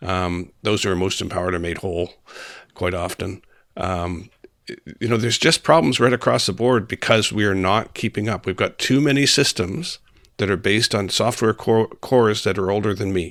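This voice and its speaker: A man speaks in a normal speaking voice, fairly low in pitch, with ordinary pitch variation. His pace is moderate, and the recording is very clean with a silent background. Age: 60s. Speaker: senator. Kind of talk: podcast interview.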